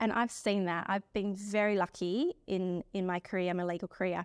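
A woman's medium-pitched voice with an Australian accent, at a moderate pace with fairly even intonation, on a very clean recording with a silent background. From South Australia. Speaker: lawyer. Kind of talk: interview. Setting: recording on location.

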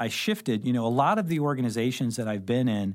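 Heard on a very clean recording with a silent background, a man with a medium pitch and an unremarkable speaking voice talks at a fairly quick pace with ordinary pitch variation. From Southern Illinois (Carbondale). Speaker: accounting firm partner and advisory director. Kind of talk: interview conversation. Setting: studio.

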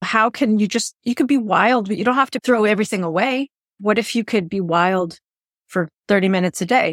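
A woman's normal speaking voice at medium pitch, fairly quick in pace. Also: dry, close sound with no echo. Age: 50s. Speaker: podcast host and fiction writing coach. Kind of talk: interview conversation.

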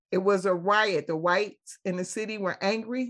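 This is a plain, everyday voice from a woman at medium pitch. She goes at a fairly slow pace with ordinary pitch variation. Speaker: community activist. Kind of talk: casual chat. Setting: video call.

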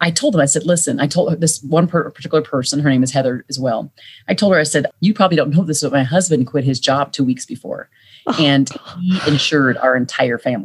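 A woman with a very deep, low pitch and a somewhat breathy voice talks very fast with ordinary pitch variation. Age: 40s. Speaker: author and leadership consultant. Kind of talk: interview.

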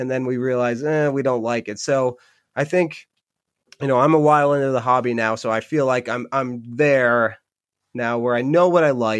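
A man with an American accent talks at a moderate pace, his medium-pitched voice keeping a fairly even intonation. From Michigan, Upper Peninsula. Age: 40s. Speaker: podcast host and dog walker. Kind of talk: solo podcast monologue. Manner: casual, hesitant with fillers.

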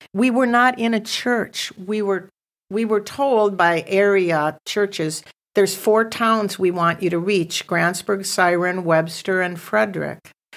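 A woman speaks at a fairly slow pace. Her medium pitch shows ordinary variation. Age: 60s. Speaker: missions ministry founder. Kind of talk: testimony. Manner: animated.

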